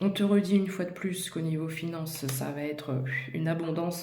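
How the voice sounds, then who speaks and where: Whispering at a fairly quick pace, a woman is heard amid noticeable background noise and audible room echo. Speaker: tarot card reader. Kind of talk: tarot reading addressed to viewer. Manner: hesitant, many fillers.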